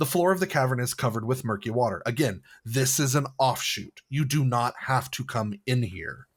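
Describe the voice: The clip is plain reading aloud. Pitch variation is ordinary.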